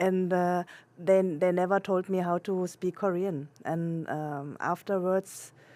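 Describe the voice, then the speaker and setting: At a very slow pace, a woman with a German accent speaks in a dark, mellow tone with a fairly low pitch and monotone, flat intonation. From Germany. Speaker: international adoptee searching for birth family. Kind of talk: interview. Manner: halting, many fillers and restarts.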